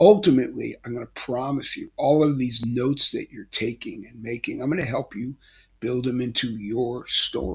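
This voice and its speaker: Somewhat breathy speech at a moderate pace, with big swings in loudness and ordinary pitch variation. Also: man, medium pitch for a man. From Philadelphia, Pennsylvania. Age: 70s. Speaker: life coach, retired basketball coach. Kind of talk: motivational talk to camera. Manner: casual, hesitant with fillers.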